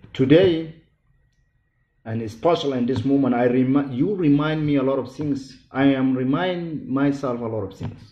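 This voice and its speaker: Speaking fairly slowly, a man with a Sudanese accent has a medium-pitched voice and ordinary pitch variation. There is audible room echo. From Sudan, Darfur. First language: not English. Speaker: genocide survivor speaker. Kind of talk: public speech. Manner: halting.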